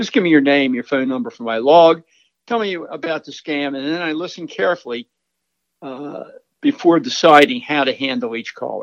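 A man's fairly high-pitched, plain, everyday voice with lively intonation, a moderate pace and big swings in loudness. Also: quiet background. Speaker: retired firefighter, volunteer call taker. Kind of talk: interview answers.

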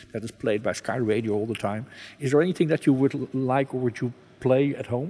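A man with a Dutch accent and a dark, mellow tone talks at a fairly quick pace with fairly even intonation. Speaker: radio podcast host. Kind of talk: interview.

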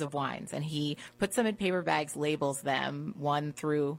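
In a very clean recording with a silent background, a woman with an American accent speaks at a fairly slow pace and a very deep, low pitch. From Washington DC. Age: 30s. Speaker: wine professional. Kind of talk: casual interview chat.

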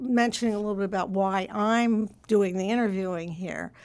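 On a very clean recording with a silent background, a woman with an American accent talks at a fairly high pitch with fairly even intonation. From US suburbs. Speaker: think tank fellow and interviewer. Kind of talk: interview conversation. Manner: halting, many fillers.

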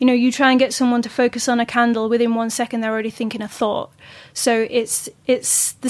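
At a fairly quick pace, a woman with a high pitch speaks in a flat monotone. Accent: Yorkshire. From Yorkshire, northern England. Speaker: astral projection teacher. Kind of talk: interview.

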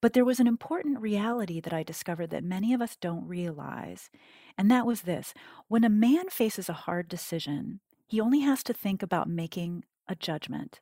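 A woman with an American accent speaks at a medium pitch and a fairly quick pace, with a dark, mellow tone and lively intonation. The recording is very clean, with a silent background and a dry, close sound with no echo. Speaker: cognitive scientist and author. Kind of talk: interview.

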